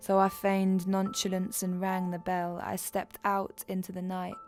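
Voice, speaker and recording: With crowd noise in the background, a woman speaks at a moderate pace in a medium-pitched, monotone, flat voice. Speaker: spoken word poet. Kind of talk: spoken word theatre performance.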